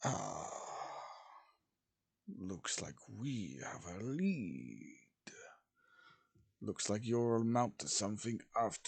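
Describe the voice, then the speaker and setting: In a put-on character voice, a man talks at a very slow pace with long, frequent pauses. His pitch is medium, and the background is quiet. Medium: read story. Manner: commanding, haughty.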